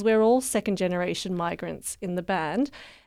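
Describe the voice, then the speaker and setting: A woman with an Australian accent at a moderate pace, ordinary pitch variation, very clean recording and silent background. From Australia, Canberra. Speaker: musician. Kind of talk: interview.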